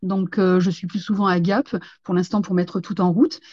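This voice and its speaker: A woman speaks at medium pitch and a moderate pace, somewhat breathy, with fairly even intonation. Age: 50s. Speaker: franchise store owner. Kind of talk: interview. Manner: hesitant, many fillers.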